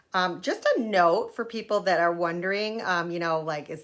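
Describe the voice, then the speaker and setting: The speaker has a plain, everyday voice. The intonation stays fairly even at a moderate pace. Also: woman. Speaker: wellness coach demonstrating makeup. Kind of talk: online workshop tutorial.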